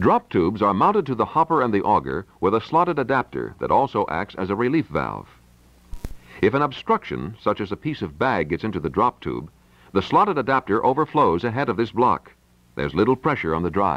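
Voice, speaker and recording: At a fairly quick pace, a man speaks with fairly low pitch and vocal fry. His pitch swings very widely. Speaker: demo tape narrator. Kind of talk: scripted narration. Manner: formal, polished, authoritative sales-pitch delivery; steady, measured pacing like a slide-show voiceover. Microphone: old recording.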